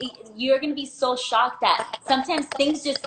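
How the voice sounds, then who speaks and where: A woman speaks with a high pitch in a raised, projected voice. Her tone is bubbly, and there is noticeable background noise. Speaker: small business owner. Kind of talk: interview. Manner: loud.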